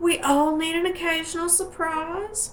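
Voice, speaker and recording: A woman with an American accent and a relaxed tone, amid audible room echo and noticeable background noise. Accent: hillbilly. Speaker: soap maker. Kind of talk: casual tutorial. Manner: chatty, relaxed.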